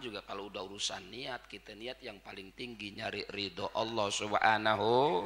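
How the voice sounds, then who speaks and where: Moderate pace from a man amid noticeable background noise. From Jakarta, Tanah Abang (Betawi). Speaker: Islamic preacher. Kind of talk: religious lecture (sermon). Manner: informal, blunt street speech.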